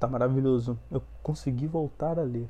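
Somewhat breathy and dark, mellow in tone, a man's medium-pitched voice moves at a fairly slow pace. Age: 20s. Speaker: podcast host, biology student. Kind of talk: casual monologue.

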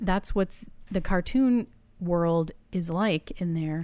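A woman with an American accent and a normal speaking voice talks at a fairly slow pace in a fairly low pitch, captured in a very clean recording with a silent background. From Massachusetts. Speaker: podcast co-host. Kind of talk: casual chat.

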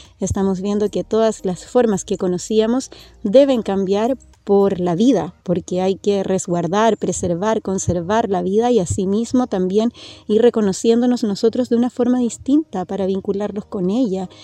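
The sound is dry and close, with no echo. A woman speaks in a dark, mellow tone. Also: medium pitch for a woman, ordinary pitch variation, moderate pace. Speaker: radio host. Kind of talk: radio interview. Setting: outdoors. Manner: gentle.

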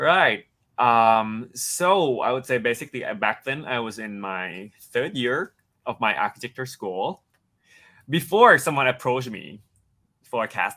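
A man with a Thai accent speaks at a fairly slow pace in a medium pitch, his bright, sharp tone carried by lively intonation on a very clean recording with a silent background. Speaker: actor. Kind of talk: interview. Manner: halting, hesitant speech.

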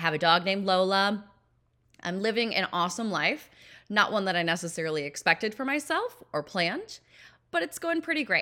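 A woman speaks at a medium pitch with an American accent and a bright, sharp tone. The recording is very clean, with a silent background. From Minnesota, US Midwest. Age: 30s. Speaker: podcast host, pageant coach. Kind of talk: podcast trailer monologue.

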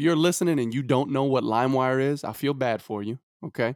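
Recorded dry and close with no echo, a man with an American accent speaks in a normal speaking voice at medium pitch with ordinary pitch variation. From Brooklyn, New York. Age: 20s. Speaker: podcast co-host. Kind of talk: casual chat.

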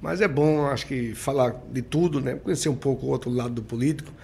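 Somewhat breathy, a man talks at a fairly quick pace. His pitch varies in an ordinary way. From Sergipe, Brazil (countryside). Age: 60s. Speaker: mayor and businessman. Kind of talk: interview.

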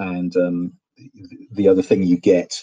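A man speaks in a British accent. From UK. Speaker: guest, arcade enthusiast. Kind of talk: casual chat. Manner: halting, many fillers and repetitions.

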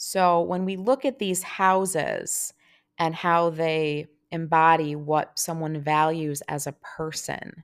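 A woman's fairly low voice at a very slow pace with fairly even intonation, on a very clean recording with a silent background. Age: 30s. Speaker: podcast host and hockey fan. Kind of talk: solo podcast monologue. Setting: home recording in apartment.

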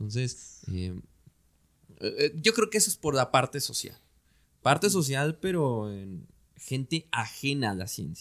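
Recorded very cleanly against a silent background, a man with a fairly high pitch speaks at a fairly slow pace, his pitch swinging very widely and his loudness in big swings, with long, frequent pauses. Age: 20s. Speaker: telescope operator and science communicator. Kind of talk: casual interview.

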